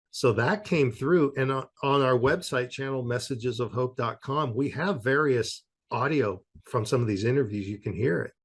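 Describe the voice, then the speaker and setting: Over a quiet background, a man with a West Coast accent talks at medium pitch. His voice is somewhat breathy, with ordinary pitch variation. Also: moderate pace. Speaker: author on spirit communication. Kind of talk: interview.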